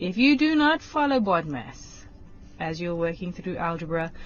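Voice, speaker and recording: A woman speaks at a fairly low pitch. Her pitch variation is ordinary. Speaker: maths teacher. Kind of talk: lesson on TV. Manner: slow, deliberate.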